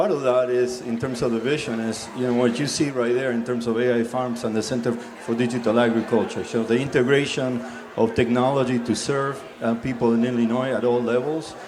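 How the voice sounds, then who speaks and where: A man with an American accent speaks at a fairly quick pace in a monotone, flat intonation. Noticeable background noise and audible room echo are present. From US South. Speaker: college dean. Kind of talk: panel discussion.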